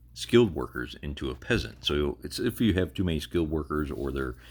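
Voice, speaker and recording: The recording is very clean, with a silent background. A man with a very deep, low voice and vocal fry talks at a fairly quick pace with ordinary pitch variation. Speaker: gaming YouTuber. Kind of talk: game walkthrough tutorial. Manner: occasional stutter; casual, hesitant with fillers.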